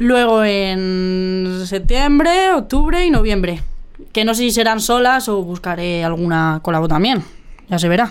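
A woman with a Madrid accent at medium pitch, with lively intonation and a fairly slow pace. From Madrid, Spain. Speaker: musician. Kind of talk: interview. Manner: casual, slangy.

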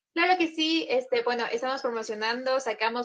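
Her voice sits high for a woman, with ordinary pitch variation. She talks at a moderate pace. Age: 20s. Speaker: cumbia group singer. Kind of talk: casual interview chat.

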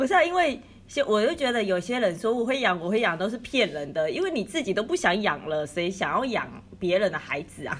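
There is noticeable background noise behind this woman. Her fairly high voice moves at a fairly quick pace with very wide pitch swings. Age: 30s. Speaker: podcast co-host. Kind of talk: casual chat.

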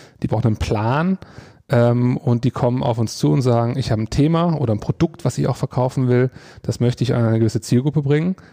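A man with a medium pitch and a dark, mellow tone talks at a very fast pace with ordinary pitch variation and very even loudness, in a dry, close sound with no echo. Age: 30s. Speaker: advertising agency executive. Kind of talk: interview. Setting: agency meeting room. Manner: hesitant, many fillers.

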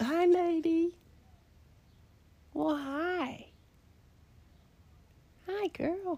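An extremely high-pitched, put-on character voice. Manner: cooing, affectionate.

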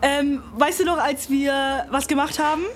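With noticeable background noise behind her, a woman speaks at a fairly slow pace in a high pitch with ordinary pitch variation. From Bavaria, Germany. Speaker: podcast co-host. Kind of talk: casual chat.

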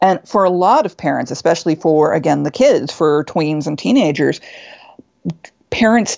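A woman talks in a normal speaking voice, fairly low in pitch, at a moderate pace. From US Pacific Northwest, Seattle suburb. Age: 50s. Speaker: author. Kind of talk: interview. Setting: video call.

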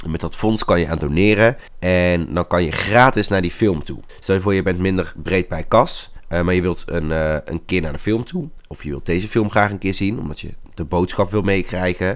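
A very deep, low male voice with ordinary pitch variation at a moderate pace. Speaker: podcaster and teacher. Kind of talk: casual solo podcast.

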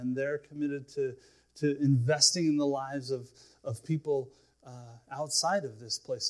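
Somewhat breathy, a man talks at a moderate pace in a fairly high pitch with ordinary pitch variation. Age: 40s. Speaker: pastor. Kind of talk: sermon. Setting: church. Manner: halting.

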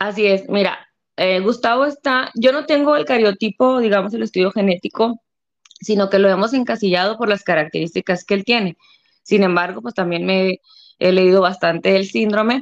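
A woman uses a plain, everyday voice, medium in pitch, keeping a moderate pace and ordinary pitch variation. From Mexico, Delicias, Chihuahua. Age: 30s. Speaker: stay-at-home mother of a child with a rare syndrome. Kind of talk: interview testimony.

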